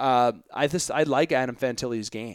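A man with an Ontario accent talks at medium pitch with ordinary pitch variation, the sound dry and close with no echo. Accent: Canadian (Ontario). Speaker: sports podcast host. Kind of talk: solo sports commentary podcast. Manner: animated.

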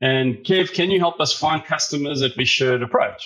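A man talks with a South African accent. His pace is moderate, and his pitch varies in an ordinary way. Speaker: data service founder. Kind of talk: interview. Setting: video call from Australia.

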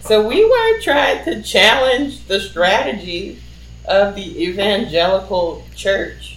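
Very slow speech from a woman, noticeable background noise behind it. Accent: American. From New Orleans, US South. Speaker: activist and filmmaker. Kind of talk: oral history interview.

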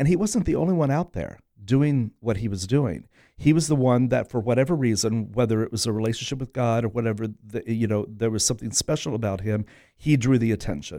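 A man talks at a medium pitch and a fairly quick pace, with a dark, mellow tone and lively intonation. The recording is very clean, with a silent background. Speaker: theater director. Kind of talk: radio interview, casual chat. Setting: studio.

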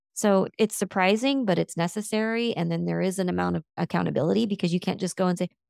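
Very fast speech from a woman at medium pitch with ordinary pitch variation. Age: 50s. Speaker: business coach. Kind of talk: casual chat.

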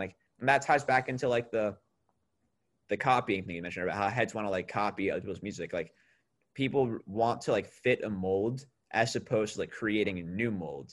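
A man with a plain, everyday voice and an American accent speaks at a fairly quick pace and a fairly low pitch, with ordinary pitch variation, in a very clean recording with a silent background. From New York state, small town. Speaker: musician. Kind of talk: casual chat.

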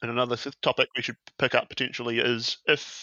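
A man speaks at a moderate pace with a New Zealand accent. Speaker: television researcher and fan site contributor. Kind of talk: casual chat.

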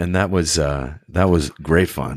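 A man talks with a West Coast US accent. His pace is fairly slow. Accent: General American (West Coast). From Northern California (Sacramento). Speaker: actor. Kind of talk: interview. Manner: halting, many fillers.

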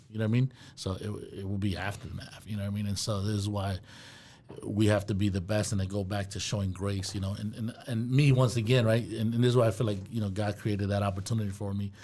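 Very fast and monotone, a man with an American accent speaks in a somewhat breathy, fairly low voice with a dark, mellow tone. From Brooklyn, New York. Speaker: property management company owner. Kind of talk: casual chat.

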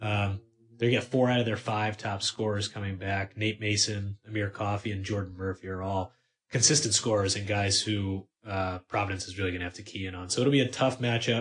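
A somewhat breathy voice at a fairly quick pace. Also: man, fairly low pitch for a man, fairly even intonation. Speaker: sports writer. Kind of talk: casual sports chat.

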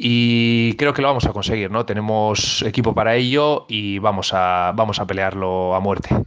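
Against a quiet background, a man of medium pitch speaks at a fairly slow pace. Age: 30s. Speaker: futsal player and coach. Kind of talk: interview. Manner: hesitant, many fillers.

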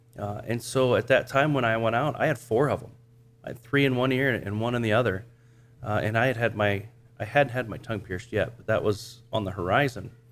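With a normal speaking voice, this man talks at a fairly quick pace, his medium pitch carried on fairly even intonation. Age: 40s. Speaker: church planter. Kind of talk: casual interview.

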